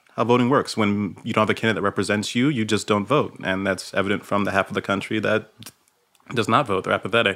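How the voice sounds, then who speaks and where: With an American accent, a man speaks at a fairly low pitch and with fairly even intonation. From New York, Brooklyn. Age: 30s. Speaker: activist and local political candidate. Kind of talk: casual chat. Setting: phone call.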